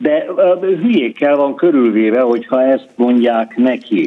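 In an ordinary speaking voice, a man talks at a fairly slow pace with medium pitch and ordinary pitch variation. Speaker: former central bank governor, economist. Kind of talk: radio interview.

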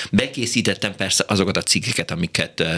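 Speaking at a moderate pace, a man is heard over noticeable background noise. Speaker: radio host. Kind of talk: call-in radio show. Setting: studio.

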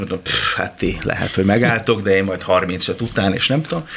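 A man talks fairly quickly in a fairly low pitch, his pitch varying in an ordinary way, with noticeable background noise present. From rural Hungary, village. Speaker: actor and singer. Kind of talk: radio interview.

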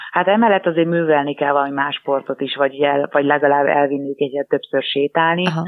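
A woman speaks at a very fast pace with hardly any pauses. Her voice has a very deep, low pitch. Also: fairly even intonation, very even loudness. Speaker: dog agility competitor. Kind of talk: interview. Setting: phone call.

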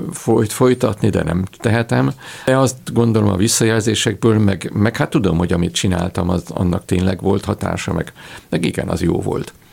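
A man's fairly low voice, delivered at a moderate pace with ordinary pitch variation, comes through noticeable background noise. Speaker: classical philologist and theatre historian. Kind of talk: radio interview. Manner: halting, many repeated words.

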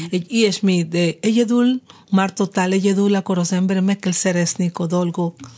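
A woman speaks with a Spanish accent. Her tone is dark and mellow, and somewhat breathy. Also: medium pitch for a woman, fairly quick pace. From Cuba. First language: Spanish (speaking Hungarian). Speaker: jazz singer. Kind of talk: radio interview. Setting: studio. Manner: animated.

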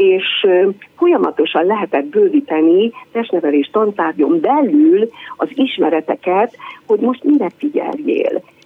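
Fairly slow speech from a woman with a fairly high pitch and very wide pitch swings, over noticeable background noise. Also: very even loudness. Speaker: PE teacher. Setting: phone call.

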